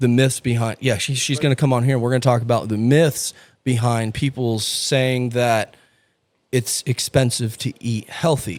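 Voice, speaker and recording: A man talks at a moderate pace with a medium pitch, ordinary pitch variation and an unremarkable speaking voice. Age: 30s. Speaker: podcast host. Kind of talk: casual chat.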